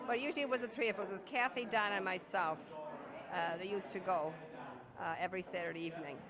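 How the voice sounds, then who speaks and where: Over crowd noise and audible room echo, a woman speaks very fast in a medium pitch with lively intonation, broken by long, frequent pauses. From Ireland. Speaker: Irish immigrant. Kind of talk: reminiscing interview.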